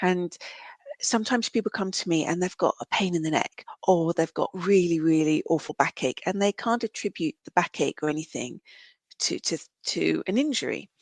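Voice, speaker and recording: A woman with a fairly low pitch speaks at a moderate pace with lively intonation. The sound is dry and close with no echo, over a quiet background. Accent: British. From UK. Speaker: reflexologist and counsellor. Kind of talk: podcast interview.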